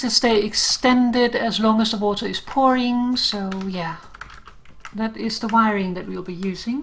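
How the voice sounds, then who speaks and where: Big swings in loudness, ordinary pitch variation, a fairly slow pace, and noticeable background noise. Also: woman. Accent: Danish. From Denmark. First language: Danish. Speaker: game streamer. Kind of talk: live game stream with tutorial explanation. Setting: live stream.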